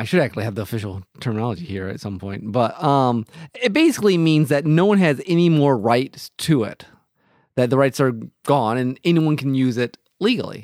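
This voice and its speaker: On a very clean recording with a silent background, a man talks fairly quickly in an ordinary speaking voice, medium in pitch, with lively intonation. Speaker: podcast host, teacher. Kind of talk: casual chat.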